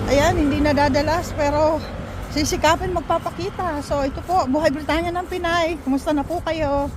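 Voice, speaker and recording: Over background music and audible room echo, a woman with a high pitch speaks at a moderate pace. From Philippines. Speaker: vlogger. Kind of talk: casual vlog talking to camera. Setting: outdoors, walking.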